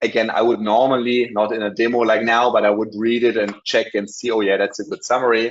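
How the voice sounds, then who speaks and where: The man speaks with a German accent at a medium pitch. His intonation is monotone and flat. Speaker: company managing director presenting software. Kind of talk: webinar product demo. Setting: online webinar. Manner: hesitant, many fillers.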